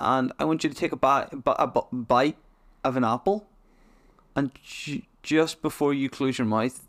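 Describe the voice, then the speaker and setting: Recorded with a dry, close sound and no echo, a man speaks with a Northern Irish accent. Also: very clean recording, silent background. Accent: Northern Irish, mild. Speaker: podcast host. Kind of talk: casual chat. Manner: jokey, laughs often.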